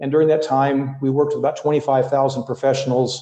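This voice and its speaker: A man with a North American accent speaks at a fairly high pitch in a dark, mellow tone. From US Midwest. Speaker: leadership coach. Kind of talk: podcast interview.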